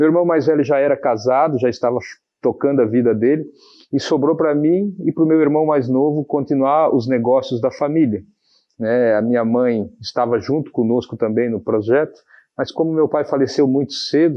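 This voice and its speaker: Here is a man with a plain, everyday voice and a fairly high pitch. He keeps a moderate pace, ordinary pitch variation, and very even loudness. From Santa Catarina, Brazil (Pouso Redondo, then Navegantes from age 12). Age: 40s. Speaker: mayor-elect, businessman. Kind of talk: TV interview.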